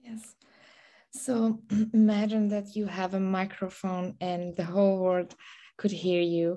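With a Persian accent, a woman speaks at medium pitch in a dark, mellow tone, fairly slowly and with fairly even intonation, leaving long, frequent pauses against a quiet background. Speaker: interviewer. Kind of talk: interview questions. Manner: halting, with frequent fillers.

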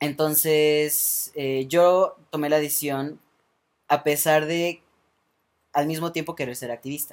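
Very slow male voice, fairly high-pitched, flat and monotone, with long, frequent pauses. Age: 20s. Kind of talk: casual interview. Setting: studio with small live audience.

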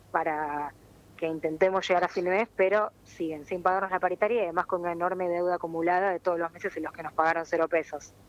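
A woman talks at a very fast pace in a fairly low voice with flat, monotone intonation. The sound is dry and close, with no echo. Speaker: press worker and union spokesperson. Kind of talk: phone interview.

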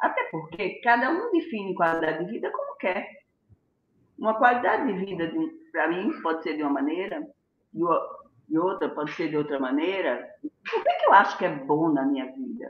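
Medium-pitched female speech at a moderate pace, with very wide pitch swings. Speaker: gynecologist. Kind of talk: health talk on a live stream. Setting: live video stream.

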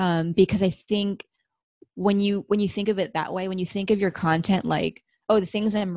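A woman with an American accent speaks at medium pitch and a moderate pace with fairly even intonation, in a dry, close sound with no echo on a very clean recording with a silent background. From Los Angeles, US. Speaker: head of marketing. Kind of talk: casual interview. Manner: hesitant, many fillers.

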